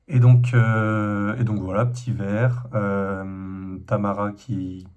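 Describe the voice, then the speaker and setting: Fairly even intonation from a man at fairly low pitch, with audible room echo. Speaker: vlogger. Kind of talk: casual vlog monologue. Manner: hesitant, many fillers.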